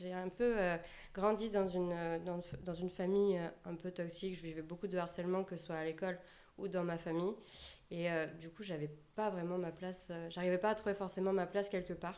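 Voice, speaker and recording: A woman speaks with a fairly low pitch. Her pace is fairly quick. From southwest France, Landes. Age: 20s. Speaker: personal branding consultant. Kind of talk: podcast interview. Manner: halting, many fillers.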